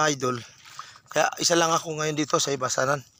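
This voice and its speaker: Over noticeable background noise, a man talks fairly quickly at a fairly high pitch. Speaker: vlogger. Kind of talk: casual vlog narration. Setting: outdoors.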